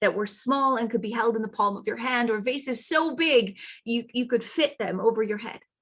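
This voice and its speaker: A woman speaks in an unremarkable speaking voice, fairly high in pitch, with ordinary pitch variation. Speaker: traditional storyteller. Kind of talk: fairy tale telling.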